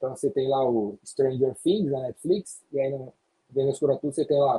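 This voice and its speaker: A somewhat breathy man at a fairly high pitch with a dark, mellow tone, at a moderate pace, in a dry, close sound with no echo. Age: 50s. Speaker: sales trainer. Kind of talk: podcast interview.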